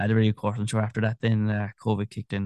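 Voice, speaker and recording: A man at a very fast pace, fairly low in pitch with a dark, mellow tone and monotone, flat intonation, in a dry, close sound with no echo over a quiet background. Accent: Kerry. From Ireland, Tralee, County Kerry. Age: 30s. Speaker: continuity announcer. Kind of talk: interview.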